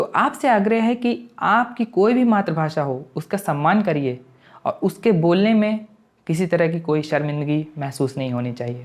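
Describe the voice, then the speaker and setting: Against a quiet background, a man with a high pitch speaks with very wide pitch swings. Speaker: YouTuber. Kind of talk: motivational talk to camera.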